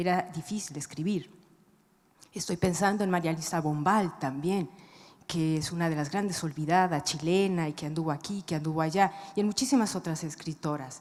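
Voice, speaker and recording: Soft-spoken, a woman with a fairly low pitch talks at a moderate pace with ordinary pitch variation. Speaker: writer. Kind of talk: panel discussion. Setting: stage with audience.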